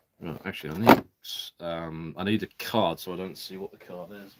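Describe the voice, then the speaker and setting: Speaking with a British accent, this voice moves at a fairly quick pace in a monotone, flat intonation. Its loudness swings widely. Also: man, very deep, low pitch for a man. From Britain. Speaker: live streamer opening card packs. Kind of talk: casual live stream chat. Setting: live stream.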